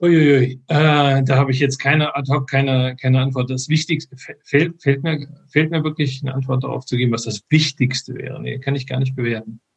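With hardly any pauses, a man of medium pitch speaks at a moderate pace in a monotone, flat intonation. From Frankfurt, Hesse, Germany. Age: 50s. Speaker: software engineer and men's group organizer. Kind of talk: interview. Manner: halting, many fillers.

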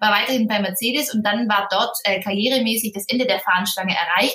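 Noticeable background noise sits behind a woman. She speaks at a fairly quick pace with a medium pitch. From southern Germany, Ulm (Swabia). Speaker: wedding planner. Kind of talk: interview.

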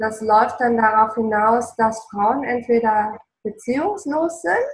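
Very slowly, a woman speaks in a somewhat breathy, fairly high voice with ordinary pitch variation. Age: 40s. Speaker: relationship coach. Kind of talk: casual interview. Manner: passionate, emotional.

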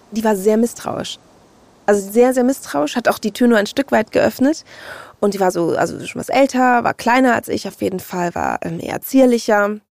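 A woman with a plain, everyday voice and ordinary pitch variation is heard in a dry, close recording with no echo. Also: fairly high pitch for a woman, moderate pace. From Hamburg, northern Germany. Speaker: podcast guest. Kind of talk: personal storytelling interview.

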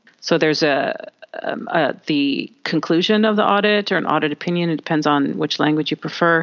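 A woman speaks with a Canadian accent at a moderate pace. Her pitch is very deep and low. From Canada. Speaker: communication trainer for auditors. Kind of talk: interview. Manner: enthusiastic.

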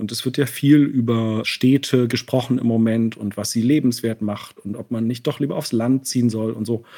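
With ordinary pitch variation, the voice has a dark, mellow tone and a moderate pace. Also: man. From East Germany, Leipzig and East Berlin. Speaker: painter, visual artist. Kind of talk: interview. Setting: remote call from Berlin.

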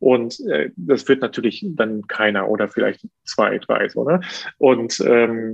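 It's a man speaking. His pace is moderate. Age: 30s. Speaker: opera and concert singer. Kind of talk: interview. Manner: hesitant, many fillers.

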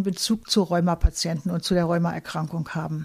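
A woman speaks at a moderate pace with a somewhat breathy voice. Her intonation stays fairly even. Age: 70s. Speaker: chemist and patient volunteer. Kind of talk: interview testimony.

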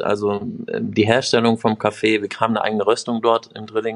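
Fairly quick speech in a man's unremarkable speaking voice, medium in pitch. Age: 30s. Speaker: bar owner and management consultant. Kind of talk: interview.

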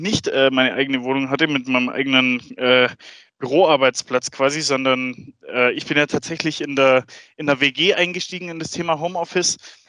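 At a moderate pace, a bright, sharp voice with ordinary pitch variation comes through a dry, close recording with no echo. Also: man. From Swabia, Germany. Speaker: sales colleague. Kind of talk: casual chat.

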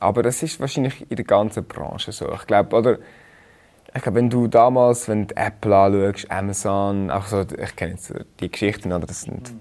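A man speaks in a plain, everyday voice at a fairly low pitch and a moderate pace. His loudness swings widely while his pitch varies in an ordinary way. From Switzerland, Rheinfelden. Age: 30s. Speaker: food startup founder. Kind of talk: casual chat.

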